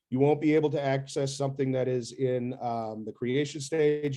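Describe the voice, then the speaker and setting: A man's medium-pitched voice has a dark, mellow tone and fairly even intonation. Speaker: software trainer. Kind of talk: training presentation.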